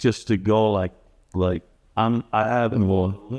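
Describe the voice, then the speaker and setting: Fairly low in pitch, a man speaks with an American accent. He goes at a very slow pace with fairly even intonation. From New York City (Bronx). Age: 60s. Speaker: homebuyer who relocated. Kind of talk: casual interview. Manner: halting.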